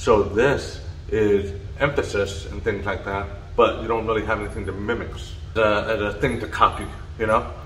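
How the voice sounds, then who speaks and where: Over noticeable background noise and audible room echo, a man talks at a moderate pace. He has an American accent. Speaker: deaf real estate agent. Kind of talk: personal story vlog. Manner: flat intonation.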